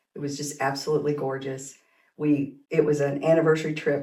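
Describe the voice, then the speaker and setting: In a room with audible echo, a woman speaks at a moderate pace with a very deep, low pitch and a dark, mellow tone. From Kansas and Oklahoma. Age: 60s. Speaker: teacher and school administrator. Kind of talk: casual interview.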